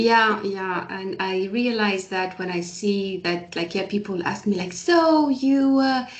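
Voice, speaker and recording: A woman speaks at a fairly slow pace with hardly any pauses, her medium-pitched voice carrying lively intonation. Audible room echo and noticeable background noise surround her. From Algeria. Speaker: guest. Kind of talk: casual chat. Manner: halting.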